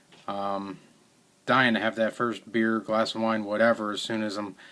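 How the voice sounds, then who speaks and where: In a flat monotone, a man with a fairly low pitch and a bright, sharp tone speaks at a moderate pace on a very clean recording with a silent background. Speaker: video blogger with multiple sclerosis. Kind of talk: personal video diary. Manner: uneven volume, sometimes too quiet, sometimes too loud.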